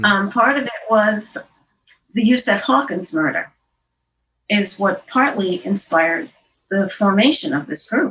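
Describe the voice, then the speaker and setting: A woman with an American accent speaks at a medium pitch with lively intonation. Her pace is fairly slow, broken by long, frequent pauses. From Queens, New York City. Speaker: poet and journalist. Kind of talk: interview answer. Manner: conversational, hesitant.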